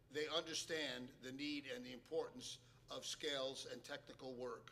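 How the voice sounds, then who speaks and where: A man talks at a moderate pace with ordinary pitch variation and a bright, sharp tone. Audible room echo surrounds his voice. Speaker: jazz pianist and piano teacher. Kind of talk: lecture. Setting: stage with audience.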